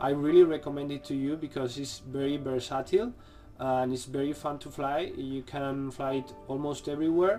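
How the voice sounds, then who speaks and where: With music in the background, a man talks in a Spanish accent. His pitch is fairly high. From Spain. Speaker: drone hobbyist youtuber. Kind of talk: video blog tutorial. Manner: halting.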